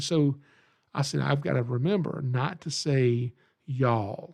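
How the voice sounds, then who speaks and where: Against a quiet background, a man speaks with a Southern US accent. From Georgia, US South. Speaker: reptile educator and podcast host. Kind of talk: podcast monologue. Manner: casual, folksy; animated.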